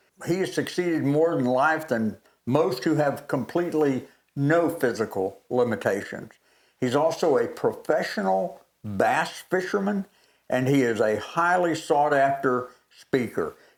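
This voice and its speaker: A man with an Alabama accent, fairly high pitch, lively intonation, very even loudness and a fairly slow pace. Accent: Southern US (Alabama). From US South, Alabama. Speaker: pastor, former professional wrestler, co-host. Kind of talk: talk show hosting.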